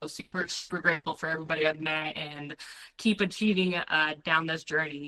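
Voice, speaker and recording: A woman talks loudly at a fairly quick pace. Her pitch is very deep and low, and her tone is bright and sharp. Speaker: Marine Corps veteran and dog trainer. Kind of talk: casual interview. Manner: energetic.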